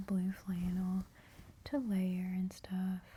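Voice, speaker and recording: Soft-spoken and relaxed in tone, a woman talks. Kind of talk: ASMR soft spoken haul video. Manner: soft-spoken, relaxed, rambling.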